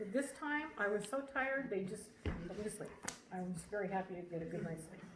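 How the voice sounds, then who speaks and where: Over noticeable background noise and audible room echo, a woman talks at medium pitch with lively intonation. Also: fairly quick pace. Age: old. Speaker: camp attendee giving testimonial. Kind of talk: testimony. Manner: animated.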